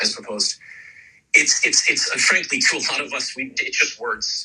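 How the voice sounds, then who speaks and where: Music runs in the background. Over it, a man speaks at a very fast pace. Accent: American. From United States. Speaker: emergency doctor. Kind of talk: radio interview. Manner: animated.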